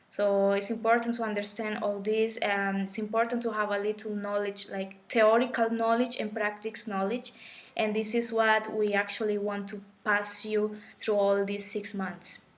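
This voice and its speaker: A woman with a Colombian accent speaks at a moderate pace and fairly high pitch in a monotone, flat intonation. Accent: Colombian Spanish accent, noticeable. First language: Spanish. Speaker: spiritual teacher. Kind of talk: live stream talk. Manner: halting.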